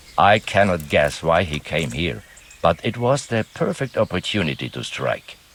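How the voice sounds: Putting on a character voice, a man speaks at a moderate pace in a low pitch with big pitch swings, a fairly bright tone and a slightly husky edge.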